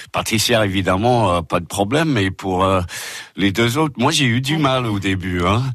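Against a quiet background, a man with an English accent speaks in a fairly low voice with lively intonation. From England, Liverpool. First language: English (speaking French). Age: 60s. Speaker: guest, English expat. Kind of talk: radio interview. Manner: hesitant.

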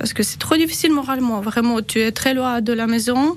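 A woman speaks at a moderate pace with a high pitch. Her pitch varies in an ordinary way, and noticeable background noise is present. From Ukraine. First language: Ukrainian or Russian (speaking French). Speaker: war refugee. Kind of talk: interview testimony. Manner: halting.

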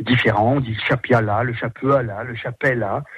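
The speaker is a man with a medium pitch. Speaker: performer and author. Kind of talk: radio interview. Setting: phone call. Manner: animated.

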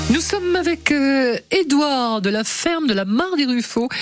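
A woman speaks very slowly in a high pitch with very wide pitch swings while music plays in the background. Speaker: radio host. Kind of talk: radio show hosting.

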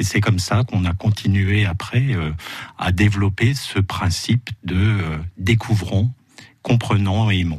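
Somewhat breathy voice with ordinary pitch variation. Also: man, fairly low pitch for a man, fairly slow pace. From Moselle, France. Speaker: ecologist and author. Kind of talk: radio interview. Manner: hesitant, many fillers.

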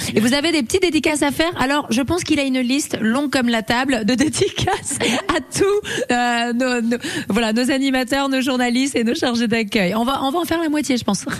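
Over noticeable background noise, a woman talks at a fairly quick pace with a high pitch, lively intonation and very even loudness. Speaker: radio reporter on location. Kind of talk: live radio report, casual chat. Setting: listener's home, live on radio. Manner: animated.

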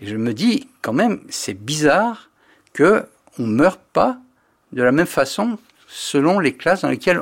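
Speaking at a fairly slow pace with long, frequent pauses, a man with a fairly high pitch makes very wide pitch swings. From Paris. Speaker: nutrition professor. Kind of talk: radio interview. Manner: halting.

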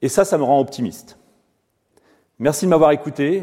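Speaking at a fairly quick pace, a man uses a fairly high pitch with ordinary variation and a dark, mellow tone. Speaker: physicist and professor. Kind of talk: inaugural lecture. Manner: fast.

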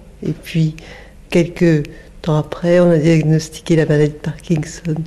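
Somewhat breathy woman's voice, fairly low, with a dark, mellow tone and monotone, flat intonation. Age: 50s. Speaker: Parkinson's patient. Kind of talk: testimony.

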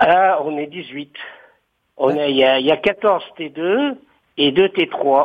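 Very slowly and with long, frequent pauses, a man speaks in a fairly high voice with ordinary pitch variation. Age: 60s. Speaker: retired civil servant, cooperative resident. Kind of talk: interview.

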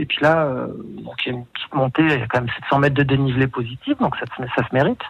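A man talks at a very fast pace in a fairly high pitch. His voice is somewhat breathy, with fairly even intonation. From Savoie, France (Aix-les-Bains). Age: 40s. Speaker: tourism marketing executive. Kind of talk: radio interview. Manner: hesitant, many fillers.

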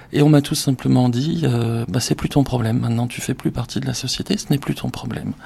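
Speaking at a fairly quick pace, a man sounds somewhat breathy. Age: 40s. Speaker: business executive. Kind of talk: interview testimony.

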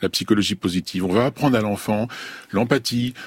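A man's voice, dry and close with no echo. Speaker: clinical psychologist. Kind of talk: radio discussion. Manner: outspoken.

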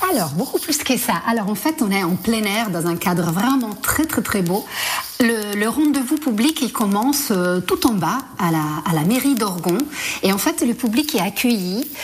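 Over noticeable background noise, a woman speaks at a fairly slow pace and a fairly high pitch, with very wide pitch swings and very even loudness. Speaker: theatre director. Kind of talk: radio interview.

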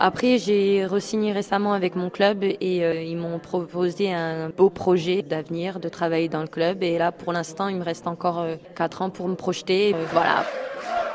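A woman speaks in a flat monotone at a fairly low pitch, going at a fairly slow pace. She hardly pauses, and there is noticeable background noise. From southern France, Marseille area. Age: 30s. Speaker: professional footballer. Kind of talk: interview testimony.

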